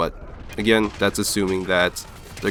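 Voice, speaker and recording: The delivery is monotone and flat at a moderate pace, with noticeable background noise. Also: man. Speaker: gaming commentator. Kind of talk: gameplay commentary voice-over. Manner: flat, lifeless.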